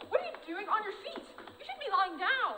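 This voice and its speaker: A female-sounding, squeaky put-on character voice at an extremely high pitch rattles along at a fairly quick pace, with clear echo and clear background noise. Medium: stage play. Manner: brisk, bossy and silly.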